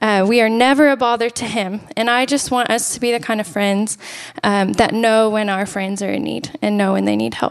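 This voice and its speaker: With ordinary pitch variation, a woman speaks at a moderate pace. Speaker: church worship leader and guest speaker. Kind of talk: sermon. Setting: church, handheld microphone. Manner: soft-spoken.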